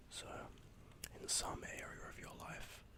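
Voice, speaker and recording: Every word comes out in a whisper. The delivery is fairly unhurried. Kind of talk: ASMR horoscope reading, tongue-in-cheek. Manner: whispered, tranquil.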